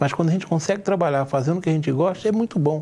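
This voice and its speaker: Very fast talking from a man, his pitch varying in an ordinary way. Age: 60s. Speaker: TV talk show host. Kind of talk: TV interview discussion.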